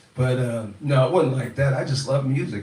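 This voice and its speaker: A man with an American accent speaks at a moderate pace, medium in pitch with ordinary variation. Audible room echo and noticeable background noise are present. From Louisiana, US South. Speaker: musician, father in family band. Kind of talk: casual storytelling in live Q&A.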